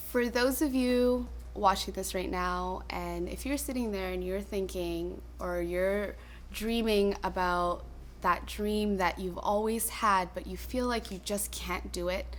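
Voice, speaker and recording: A woman with a Canadian accent speaks at a fairly slow pace. Audible room echo surrounds her voice. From Toronto, Canada. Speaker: dancer and choreographer. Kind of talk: personal testimony interview.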